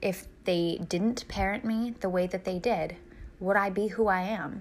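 A woman speaks at a medium pitch with ordinary pitch variation in a plain, everyday voice. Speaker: parent sharing experiences. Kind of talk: personal reflection.

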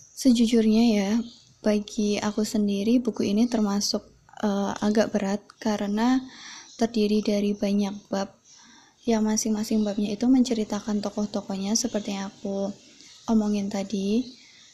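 A woman's somewhat breathy voice, dark and mellow in tone yet fairly high in pitch, moves at a moderate pace in a flat monotone. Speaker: podcast host. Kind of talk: casual book review monologue. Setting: at home.

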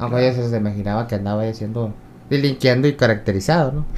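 The tone is animated. The pace is very fast. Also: man. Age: 40s. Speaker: comedian. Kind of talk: casual interview. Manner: animated, laughing.

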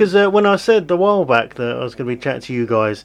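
Speaking fast with big pitch swings, a man keeps a medium pitch.

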